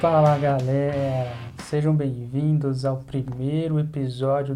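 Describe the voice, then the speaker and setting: In a room with audible echo, a man with a fairly high pitch speaks in a dark, mellow, somewhat breathy tone with monotone, flat intonation. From Brazil, Campinas (São Paulo state). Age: 20s. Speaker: Bible teacher and podcast host. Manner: talkative.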